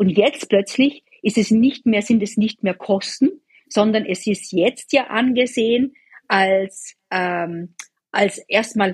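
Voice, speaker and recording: The voice is somewhat breathy. The sound is dry and close, with no echo. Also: woman. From Austria. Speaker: bond portfolio manager. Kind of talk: interview.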